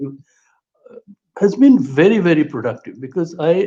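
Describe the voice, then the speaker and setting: With a Bengali accent, a man speaks in a dark, mellow tone, his pitch swinging very widely. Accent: Bengali Indian English. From India, Kolkata. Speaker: political theorist and historian. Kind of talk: interview conversation. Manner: halting, with repetitions.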